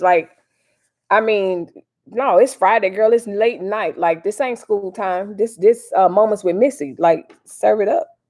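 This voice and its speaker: A woman with a St. Louis accent, at a fairly high pitch and a fairly slow pace. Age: 40s. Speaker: YouTube livestream host. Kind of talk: casual live stream commentary. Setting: live stream.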